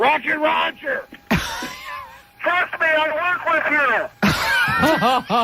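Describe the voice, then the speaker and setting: A man holds a very even loudness over noticeable background noise. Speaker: radio executive producer and on-air personality. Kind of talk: radio morning show prank call, casual banter. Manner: playful, upbeat, mock-earnest.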